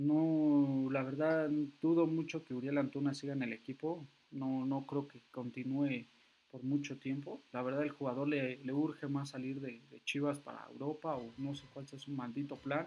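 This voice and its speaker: Speaking at a fairly slow pace, this man has a fairly high pitch and a dark, mellow tone. His intonation is monotone and flat, with big swings in loudness. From Mexico City area. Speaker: football fan podcaster. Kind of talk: solo football commentary podcast. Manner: halting, many fillers.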